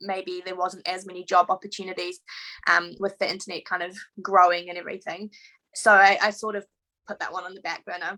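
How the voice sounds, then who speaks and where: With a New Zealand accent, a woman speaks at a moderate pace in a bright, sharp tone. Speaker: veterinarian. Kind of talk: interview.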